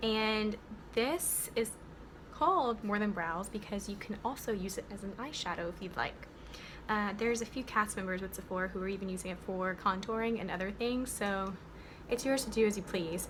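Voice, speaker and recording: There is audible room echo and noticeable background noise as a woman with an American accent talks at a medium pitch with ordinary pitch variation. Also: moderate pace. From United States, several states. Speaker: beauty vlogger. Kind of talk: tutorial. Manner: animated.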